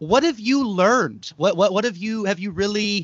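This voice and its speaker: Lively intonation from a man with an American accent. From California, Bay Area (Mexican American town). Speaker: podcast host. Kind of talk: interview. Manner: halting, repeats words.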